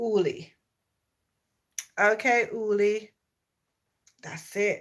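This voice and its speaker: A woman speaks with a Jamaican accent at a very slow pace. Her pitch is fairly high, with ordinary variation. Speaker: YouTuber live streamer. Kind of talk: casual live stream chat.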